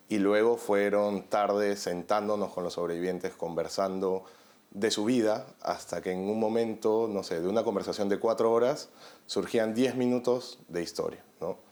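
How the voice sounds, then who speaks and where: In a very clean recording with a silent background, a man speaks at a fairly slow pace. He has a normal speaking voice with a fairly low pitch. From Peru. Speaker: journalist and documentary maker. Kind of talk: interview.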